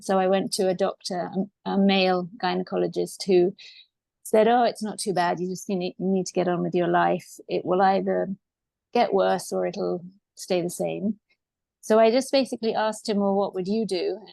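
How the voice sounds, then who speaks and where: A woman talks at an average speed in a quiet setting. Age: 60s. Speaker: pelvic floor patient sharing her story. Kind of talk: interview testimony.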